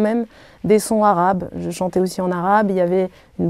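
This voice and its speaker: Her tone is dark and mellow, at a medium pitch for a woman. She keeps fairly even intonation and a moderate pace. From Algeria. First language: Arabic (speaking French). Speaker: singer. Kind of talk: interview. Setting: hotel room. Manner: halting.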